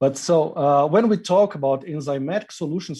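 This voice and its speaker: With a Brazilian accent, a man talks at a fairly high pitch and a fairly quick pace. His tone is dark and mellow, his intonation lively. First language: Portuguese. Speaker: industry marketing manager. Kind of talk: interview. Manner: hesitant with frequent uh fillers.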